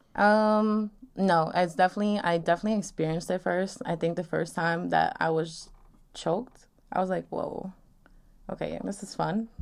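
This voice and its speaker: A woman with a plain, everyday voice and an American accent, at medium pitch, moderate pace and fairly even intonation. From New York, Long Island. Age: 20s. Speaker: podcast guest on sex and dating. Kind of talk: casual chat.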